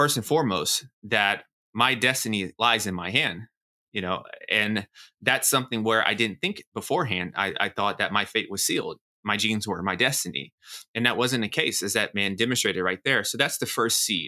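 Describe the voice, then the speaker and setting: A bright, sharp tone moves at a moderate pace with ordinary pitch variation. The recording is very clean, with a silent background. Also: man, medium pitch for a man. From US South, Nashville, Tennessee. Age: 30s. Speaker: health and performance advisor. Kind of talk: interview.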